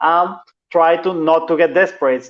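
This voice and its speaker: The pace is moderate. This man's voice sits at a fairly high pitch. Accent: Venezuelan. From Venezuela. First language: Spanish. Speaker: translator and copywriter. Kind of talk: casual chat.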